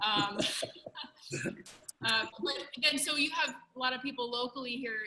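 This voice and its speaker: The speaker is a woman with a high pitch. Noticeable background noise sits behind her. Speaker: host of a live online business call. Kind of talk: interview on a live video call. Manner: soft-spoken.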